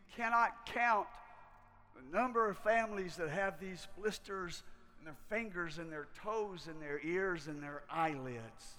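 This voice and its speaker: A man with a high pitch speaks in a raised, projected voice, very slowly and with lively intonation. His loudness swings widely, and room echo is audible. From US South, rural Kentucky. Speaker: missionary preacher. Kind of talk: sermon. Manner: halting.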